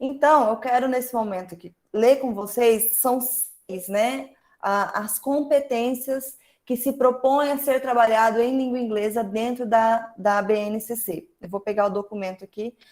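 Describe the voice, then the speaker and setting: Fairly high-pitched speech from a woman, fairly slow in pace and with ordinary pitch variation. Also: big swings in loudness. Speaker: teacher leading an online workshop. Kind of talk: online workshop lecture.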